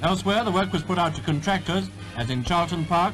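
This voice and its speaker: Music plays in the background as a man with a fairly high voice speaks at a very fast pace with lively intonation. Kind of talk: newsreel narration.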